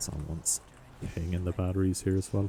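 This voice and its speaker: This man's voice has a very deep, low pitch. His intonation is fairly even. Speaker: gaming video creator. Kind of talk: gameplay commentary. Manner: casual with fillers.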